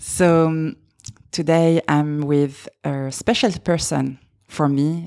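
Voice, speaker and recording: A woman with a slight French accent speaks in a very deep, low pitch with a dark, mellow tone. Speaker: podcast host, makeup artist. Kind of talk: scripted podcast intro; casual interview chat.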